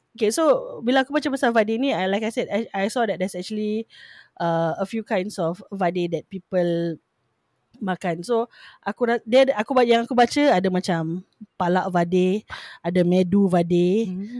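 A woman in a normal speaking voice at a fairly slow pace, with ordinary pitch variation, on a very clean recording with a silent background. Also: medium pitch for a woman, dry, close sound with no echo. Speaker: podcast co-host. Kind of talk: casual chat.

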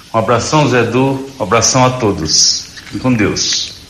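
A man talks at a fairly slow pace with fairly even intonation, amid noticeable background noise and audible room echo. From Mato Grosso do Sul, Dourados. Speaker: accordionist. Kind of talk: recorded message.

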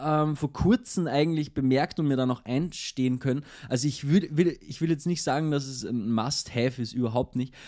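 A man with a fairly high pitch and a dark, mellow tone speaks at a moderate pace with ordinary pitch variation and hardly any pauses. The recording is very clean, with a silent background. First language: local dialect (speaking German). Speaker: podcast co-host. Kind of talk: casual chat.

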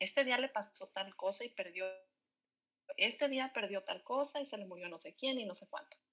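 A woman's fairly high, bright and sharp voice with lively intonation. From Mexico. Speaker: podcast guest, friend of host. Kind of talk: casual chat.

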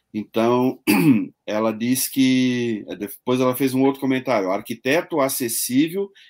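A man speaks at a medium pitch with ordinary pitch variation in an unremarkable speaking voice, on a very clean recording with a silent background. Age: 60s. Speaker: online show host. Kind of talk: interview.

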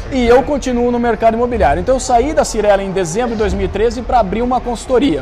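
Talking very fast with hardly any pauses, a man uses an extremely high pitch and ordinary pitch variation, with audible room echo and noticeable background noise. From Brazil, Campinas (São Paulo state). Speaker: real estate marketing consultant. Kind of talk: podcast interview.

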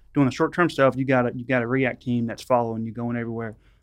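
Against a quiet background, a man with a Louisiana accent talks in a medium pitch with flat, monotone intonation. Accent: Louisiana Southern. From rural northwest Louisiana. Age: 30s. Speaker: narcotics police officer. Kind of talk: casual chat.

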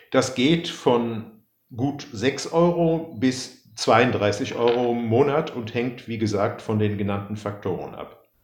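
Speaking very slowly at a medium pitch, a man is heard with audible room echo. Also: ordinary pitch variation. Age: 60s. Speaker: pension law expert and writer. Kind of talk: expert interview. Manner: halting.

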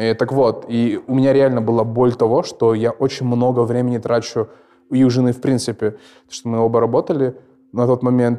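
At a moderate pace, a man talks in a dark, mellow tone at a medium pitch, his intonation monotone and flat. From Kazakhstan. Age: 20s. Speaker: mortgage borrower sharing experience. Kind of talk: casual chat.

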